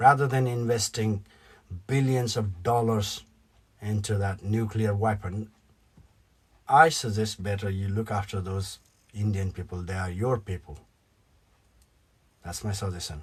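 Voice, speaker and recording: Against a quiet background, a man with a Nepali accent talks at a fairly slow pace, leaving long, frequent pauses. His voice is somewhat breathy and fairly low in pitch, with ordinary pitch variation. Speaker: YouTuber, political commentator. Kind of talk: opinion vlog rant. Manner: animated.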